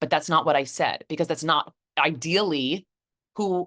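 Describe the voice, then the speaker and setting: Over a quiet background, a woman with a very deep, low pitch speaks in a bright, sharp tone with ordinary pitch variation, the sound dry and close with no echo. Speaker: business coach. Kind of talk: webinar teaching. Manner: deliberately slow.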